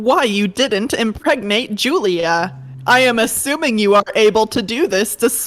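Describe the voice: What plays here is plain reading aloud.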